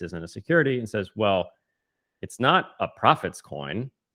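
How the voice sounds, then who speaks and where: With an ordinary speaking voice, a man talks at a moderate pace in a fairly low pitch, his intonation lively against a quiet background. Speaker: podcast co-host. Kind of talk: conversational policy discussion podcast.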